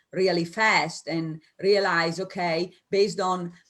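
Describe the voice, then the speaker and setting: A woman speaks with an Italian accent. Her pitch is fairly low and her pace fairly slow. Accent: Italian, noticeable. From Italy. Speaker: business coach. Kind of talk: interview. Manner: animated, spontaneous.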